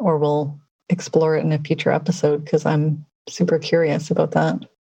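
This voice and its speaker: Somewhat breathy, with a dark, mellow tone, the voice moves at a fairly quick pace. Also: woman. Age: 40s. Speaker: podcast co-host. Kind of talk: casual chat.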